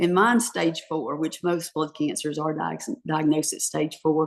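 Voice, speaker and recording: At a moderate pace, a woman talks in an unremarkable speaking voice with a fairly low pitch. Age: 60s. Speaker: author. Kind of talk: interview. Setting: podcast.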